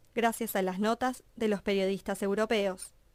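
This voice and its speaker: In an ordinary speaking voice, a woman talks at a fairly slow pace and fairly high pitch on a very clean recording with a silent background. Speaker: radio documentary narrator. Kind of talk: documentary narration.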